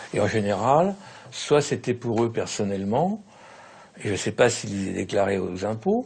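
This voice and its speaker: A man speaks at a fairly slow pace with ordinary pitch variation. His voice is somewhat breathy, and he takes long, frequent pauses. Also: medium pitch for a man. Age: 70s. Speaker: former Senate official interviewed. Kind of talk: interview. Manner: halting, hesitant with fillers.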